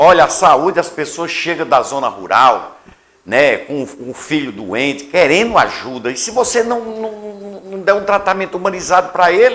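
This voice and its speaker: Pitched high, a man's bright, sharp voice swings very widely in pitch at a fairly slow pace. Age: 60s. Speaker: radio host, interviewer. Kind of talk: interview, political conversation.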